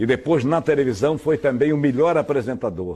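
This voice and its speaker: At a moderate pace, a man speaks with a dark, mellow tone and lively intonation. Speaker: radio news announcer. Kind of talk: interview answer.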